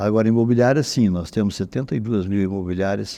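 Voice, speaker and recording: This man's voice has a dark, mellow tone and fairly low pitch. His intonation is fairly even. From Brazil, interior of Paraná state. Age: 70s. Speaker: head of a real estate brokers' professional council. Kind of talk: podcast interview.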